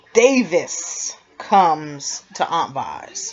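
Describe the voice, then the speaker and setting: A woman's voice with music in the background. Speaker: TV recap vlogger. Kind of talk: casual TV episode recap. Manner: yawning.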